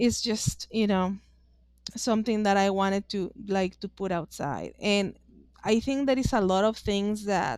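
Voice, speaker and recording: A woman's medium-pitched voice with a strong Mexican accent, fairly even intonation and a fairly slow pace. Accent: Mexican Spanish accent, thick. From northeastern Mexico. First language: Spanish. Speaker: author and witchcraft practitioner. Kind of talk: podcast interview. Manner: halting.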